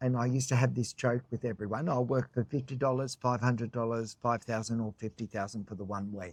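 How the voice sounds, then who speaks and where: A man with an Australian accent speaks at a medium pitch, the sound dry and close with no echo. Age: 60s. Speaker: choreographer and cookie business owner. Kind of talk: casual interview chat.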